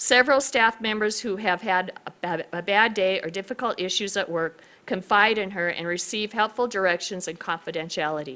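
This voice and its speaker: A woman talks loudly at a moderate pace and medium pitch, her bright, sharp tone carrying ordinary pitch variation over a very clean recording with a silent background. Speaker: county commissioner presenting awards. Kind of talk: reading aloud award citation. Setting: public hearing room.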